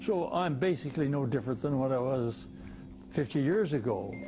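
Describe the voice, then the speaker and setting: Clear music plays behind a man whose voice sits fairly high in pitch. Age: 80s+. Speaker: retired heart surgeon. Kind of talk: interview; interview answer. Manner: halting. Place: home room. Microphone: lapel.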